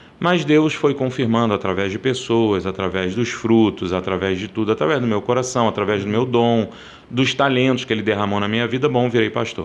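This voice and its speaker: Speech moves at a fairly quick pace while noticeable background noise runs beneath it. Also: man, medium pitch for a man, ordinary pitch variation. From Rio de Janeiro, Brazil. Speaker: Baptist pastor. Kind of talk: interview answer.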